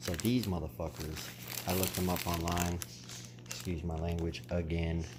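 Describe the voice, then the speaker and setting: Soft-spoken at a moderate pace, a man with a very deep, low pitch and ordinary pitch variation is heard through audible room echo and noticeable background noise. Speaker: aquarium hobbyist vlogger. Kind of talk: casual vlog ramble.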